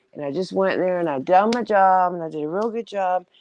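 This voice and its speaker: This woman speaks with a Southern US accent at a medium pitch. Her pitch variation is ordinary. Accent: southern drawl, country. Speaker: live-stream host. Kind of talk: casual chat. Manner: rambling, filler-heavy.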